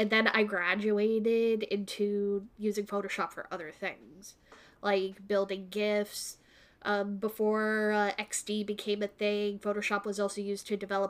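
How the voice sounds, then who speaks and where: A woman with a Canadian accent speaks at a fairly slow pace in monotone, flat intonation. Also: medium pitch for a woman. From Canada, Kingston, Ontario. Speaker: graphic designer and photographer. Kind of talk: casual chat.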